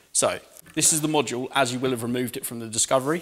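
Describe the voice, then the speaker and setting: Speaking fairly quickly, a man shows ordinary pitch variation. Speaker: mechanic demonstrator. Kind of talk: tutorial. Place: workshop. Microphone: lapel.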